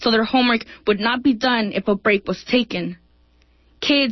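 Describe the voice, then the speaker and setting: Intonation stays fairly even. The pace is moderate. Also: woman. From El Salvador. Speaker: poet. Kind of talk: poetry reading.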